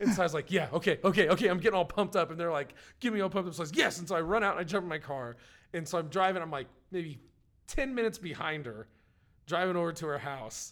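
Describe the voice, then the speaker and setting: On a very clean recording with a silent background, a man speaks very fast at high pitch with ordinary pitch variation. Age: middle-aged. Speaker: podcast host. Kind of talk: casual chat.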